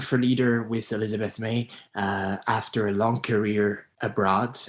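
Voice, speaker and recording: Fairly low male voice in a Quebec French accent, with fairly even intonation. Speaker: political candidate. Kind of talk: candidate introduction. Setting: video call. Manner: halting.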